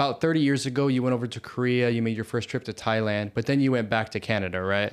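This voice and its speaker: A man with an unremarkable speaking voice talks in an American accent at medium pitch with ordinary pitch variation. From US. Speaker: podcast host. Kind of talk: casual interview chat.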